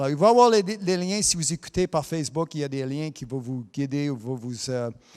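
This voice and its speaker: A man speaks with an English accent and a fairly high pitch. The recording is very clean, with a silent background. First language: English (speaking French). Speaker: preacher. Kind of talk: sermon. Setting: broadcast also streamed on Facebook.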